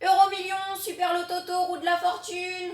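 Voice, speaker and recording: Putting on a character voice, a woman talks at an extremely high pitch in a monotone, flat intonation at a moderate pace. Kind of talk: comic overacting. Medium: read story. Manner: boastful, exclamatory.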